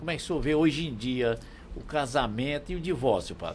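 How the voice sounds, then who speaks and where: A man speaks in a plain, everyday voice. His pace is fairly quick, with ordinary pitch variation. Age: 60s. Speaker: radio and podcast host. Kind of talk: interview.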